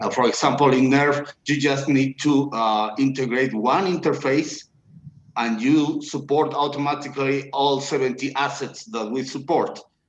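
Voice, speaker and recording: A man with a non-native accent, fairly high in pitch, with fairly even intonation at a moderate pace. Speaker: blockchain engineer. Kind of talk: video Q&A interview. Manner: halting, many fillers.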